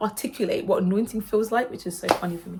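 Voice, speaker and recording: A woman with a fairly high pitch talks very fast, her pitch varying in an ordinary way. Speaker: worship singer and vlogger. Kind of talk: casual chat. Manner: halting.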